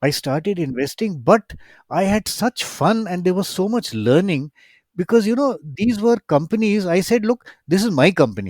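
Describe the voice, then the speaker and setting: On a very clean recording with a silent background, a man with an Indian accent makes very wide pitch swings in a dry, close sound with no echo. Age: 60s. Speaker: retired professor and angel investor. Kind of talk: interview conversation. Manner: animated.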